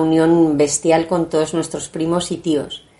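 The woman's pitch is very deep and low, with a dark, mellow tone. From Spain, Asturian family, summers in Asturias. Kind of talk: interview. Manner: halting, many repetitions.

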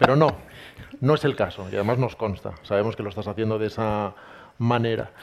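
A fairly low-pitched male voice at a fairly quick pace, with long, frequent pauses and ordinary pitch variation. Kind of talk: live book presentation interview.

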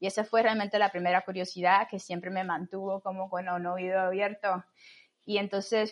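A woman speaks in a plain, everyday voice at medium pitch with fairly even intonation over a quiet background. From Cuba, Camagüey. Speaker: astrophysicist and mountaineer. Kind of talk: interview.

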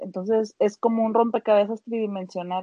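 This woman's voice sits at medium pitch. Her intonation is monotone and flat. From Mexico, Monterrey. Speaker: podcast co-host. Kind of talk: casual chat.

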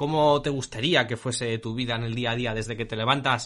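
A man speaks with an unremarkable speaking voice at a medium pitch. His pace is moderate and his pitch variation ordinary. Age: 20s. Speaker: podcast host, marketing technician. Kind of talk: casual chat.

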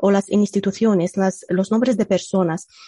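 A woman speaks in an Egyptian accent with a dark, mellow tone at medium pitch. Her voice is somewhat breathy, with fairly even intonation. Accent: non-native Spanish, Egyptian Arabic. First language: Arabic (speaking Spanish). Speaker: computational linguist. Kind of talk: casual interview. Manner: hesitant, many fillers.

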